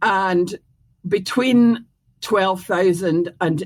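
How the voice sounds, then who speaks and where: With a Scottish accent, a woman speaks at a very slow pace and a fairly low pitch. Her pitch variation is ordinary, and the recording is very clean with a silent background. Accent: Scottish, retained. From Scotland. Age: 70s. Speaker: former mayor and educator. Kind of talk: interview. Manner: hesitant, many fillers.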